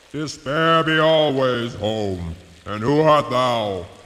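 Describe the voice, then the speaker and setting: Using a put-on character voice at medium pitch, a man speaks at a very slow pace. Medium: audio drama. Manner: gruff, growling.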